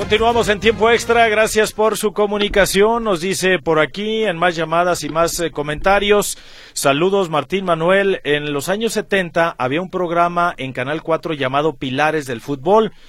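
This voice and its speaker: A man's high voice with ordinary pitch variation, moving at a fairly slow pace with hardly any pauses. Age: 40s. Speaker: sports radio host. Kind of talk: sports radio talk show.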